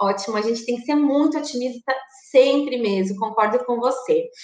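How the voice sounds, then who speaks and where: Noticeable background noise sits behind a woman speaking at a high pitch with fairly even intonation. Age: 30s. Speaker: direct sales consultant. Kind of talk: webinar lecture. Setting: live stream.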